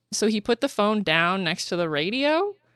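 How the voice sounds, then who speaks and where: A woman's medium-pitched voice with a slight Canadian accent, animated in tone with very wide pitch swings, at a moderate pace, on a very clean recording with a silent background and a dry, close sound with no echo. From Canada. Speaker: podcast host, copywriter. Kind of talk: casual chat.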